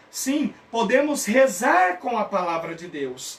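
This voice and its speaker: Speaking at a very slow pace, a man uses lively intonation. Noticeable background noise runs underneath. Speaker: theology teacher. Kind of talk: online lecture. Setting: live stream.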